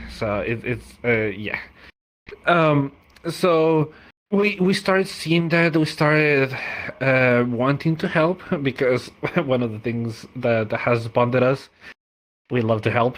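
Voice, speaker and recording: A man in a Spanish accent talks at a very slow pace with long, frequent pauses. His medium-pitched voice has lively intonation. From Mexico. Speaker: language community organizer. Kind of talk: podcast interview. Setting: VR social platform.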